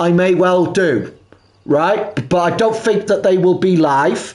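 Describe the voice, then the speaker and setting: With a Welsh accent, the speaker keeps a moderate pace and ordinary pitch variation amid noticeable background noise. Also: man. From South Wales (Pembrokeshire). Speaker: gaming live streamer. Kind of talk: live gameplay commentary. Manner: halting.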